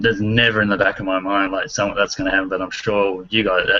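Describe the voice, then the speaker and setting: Over noticeable background noise, a man with an Australian accent talks very fast in a fairly low, monotone, flat voice. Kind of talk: casual chat.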